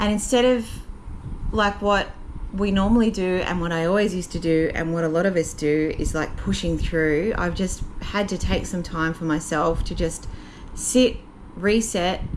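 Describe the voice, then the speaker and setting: A woman's voice with an Australian accent, ordinary pitch variation, and noticeable background noise. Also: medium pitch for a woman, moderate pace. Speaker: vlogger. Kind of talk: casual talk to camera. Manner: quiet, reflective.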